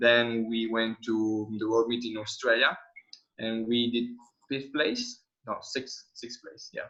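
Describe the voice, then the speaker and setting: Speaking in an Italian accent at a very slow pace, a man with a medium pitch and a bright, sharp tone keeps a monotone, flat intonation while his loudness swings widely. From Italy. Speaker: skydiver. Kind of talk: webinar talk.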